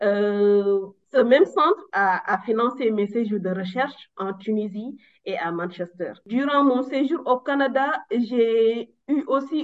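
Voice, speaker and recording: At a very slow pace, a woman speaks with a fairly high pitch. Her intonation is lively. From Senegal, Louga. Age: young. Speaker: physicist, PhD. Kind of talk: interview. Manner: halting, many hesitations.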